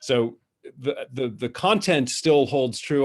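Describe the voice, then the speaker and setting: It is a plain, everyday voice, moving at a moderate pace. Its pitch shifts in an ordinary way. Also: man. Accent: North American. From North America. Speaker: author and cross-cultural business speaker. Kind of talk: webinar presentation. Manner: informal, many fillers and repetitions.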